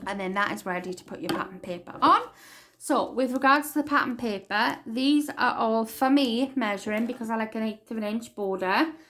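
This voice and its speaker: Talking at a fairly quick pace with a Welsh accent, a woman has a fairly high pitch, ordinary pitch variation and big swings in loudness. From Wales. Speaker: crafting tutorial maker. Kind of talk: tutorial.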